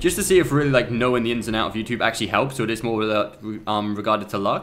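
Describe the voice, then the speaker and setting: With music in the background, a man at a medium pitch talks very fast, his pitch varying in an ordinary way. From Spain, to English parents. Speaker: gaming streamer. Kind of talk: casual livestream chat. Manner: casual, with many fillers.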